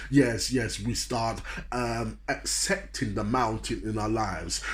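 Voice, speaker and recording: Animated, fairly slow speech from a man, with audible room echo. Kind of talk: motivational sermon.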